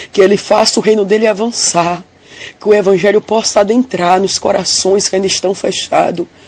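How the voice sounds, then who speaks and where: With fairly even intonation, a woman talks in a normal speaking voice at a medium pitch for a woman and a moderate pace. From interior of Bahia, Brazil. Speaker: church member giving a testimony. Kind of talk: religious testimony of a vision. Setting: recorded audio message.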